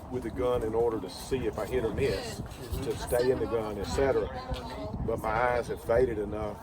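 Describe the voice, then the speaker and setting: Speaking at a fairly quick pace, a man is heard through audible room echo and noticeable background noise. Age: 60s. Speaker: match sponsor and veteran shooter. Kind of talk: casual interview chat.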